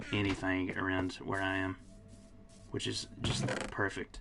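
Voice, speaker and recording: A man speaks at a fairly slow pace. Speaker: gaming streamer. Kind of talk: casual live-stream chat. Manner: halting, self-interrupting.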